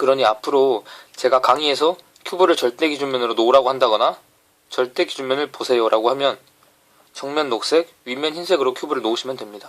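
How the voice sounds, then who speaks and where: In a very fast delivery, a man speaks at medium pitch with ordinary pitch variation. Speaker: Rubik's cube tutorial instructor. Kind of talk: tutorial.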